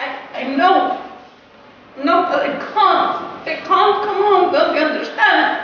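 A woman's extremely high voice at a very slow pace, in strong room echo with light background noise. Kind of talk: acted drama dialogue.

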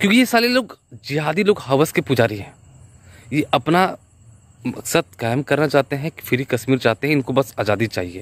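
This man talks at a fairly slow pace, with very wide pitch swings and big swings in loudness. The sound is dry, with no echo. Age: 30s. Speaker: vlogger; video blogger giving opinion. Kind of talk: vlog movie reaction. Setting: outdoors riding a bicycle. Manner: halting. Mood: earnest, impassioned. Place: open country. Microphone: phone near.

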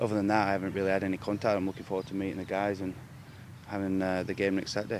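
A man's fairly low voice at a very fast pace, dry with no echo, over noticeable background noise. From Halifax, England. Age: 20s. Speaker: rugby league player. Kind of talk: interview answer. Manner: casual, hesitant. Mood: pleased, modest. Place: open country. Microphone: handheld.

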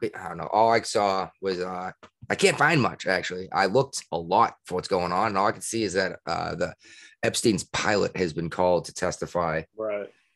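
A man's very deep, low pitch with ordinary pitch variation, against a quiet background. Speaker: podcast co-host. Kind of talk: casual podcast chat. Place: home room.

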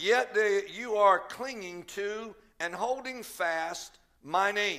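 A man speaks in a raised, projected voice with a bright, sharp tone and ordinary pitch variation. The background is quiet. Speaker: pastor preaching. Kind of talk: sermon. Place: church. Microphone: headset.

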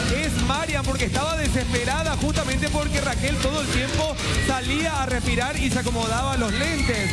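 The speech moves at a moderate pace over loud background music. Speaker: TV game show commentator. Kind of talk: sports-style live commentary. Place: studio.

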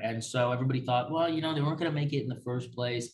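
A man's normal speaking voice at a medium pitch, with an American accent and fairly even intonation. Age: 20s. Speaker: sports podcast host. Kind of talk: solo sports talk podcast. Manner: casual, many filler words (um, uh).

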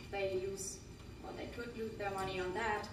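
The woman keeps a fairly even intonation. Her recording carries audible room echo and noticeable background noise. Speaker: presenter. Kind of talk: group presentation. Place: hall. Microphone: camera far.

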